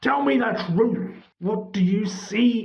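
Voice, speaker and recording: A put-on character voice growls at a fairly high pitch. The pace is very slow. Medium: read story. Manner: impatient.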